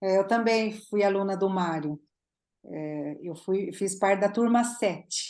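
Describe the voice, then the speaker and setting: A woman at medium pitch talks very slowly, with ordinary pitch variation. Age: 50s. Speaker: dental photography teacher. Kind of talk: casual chat.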